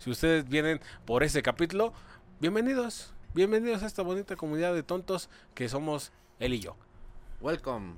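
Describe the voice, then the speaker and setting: Fairly high in pitch, a man talks at a fairly quick pace with very wide pitch swings and long, frequent pauses. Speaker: podcast co-host. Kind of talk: casual comedic chat.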